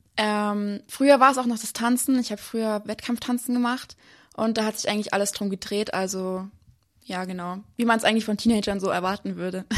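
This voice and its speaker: Over a quiet background, a woman with an unremarkable speaking voice and fairly high pitch talks at a fairly quick pace with fairly even intonation. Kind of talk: testimony interview. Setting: remote live connection.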